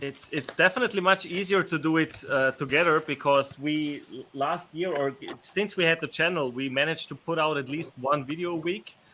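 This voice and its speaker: Speaking at a fairly quick pace with an Austrian accent, a man uses a fairly high pitch and ordinary pitch variation. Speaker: YouTube channel co-host. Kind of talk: live stream chat. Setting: live stream.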